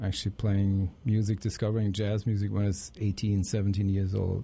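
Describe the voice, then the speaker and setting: A man with a German accent speaks at a fairly low pitch in a dark, mellow, somewhat breathy tone. His pitch varies in an ordinary way, and the recording is very clean with a silent background. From Germany. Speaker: jazz saxophonist. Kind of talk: interview. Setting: studio.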